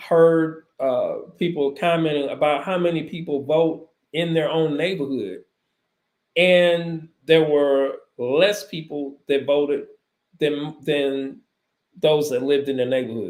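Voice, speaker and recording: Speaking very slowly, a man uses a fairly high pitch. His pitch varies an ordinary amount. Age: 60s. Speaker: talk show host. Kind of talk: talk show commentary. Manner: hesitant, frequent fillers.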